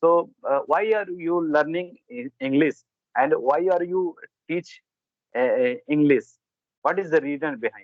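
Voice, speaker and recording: In an Indian accent, a man with a high pitch and lively intonation talks at a fairly slow pace, leaving long, frequent pauses. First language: Hindi. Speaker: English speaking practice host. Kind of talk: English practice conversation. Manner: halting.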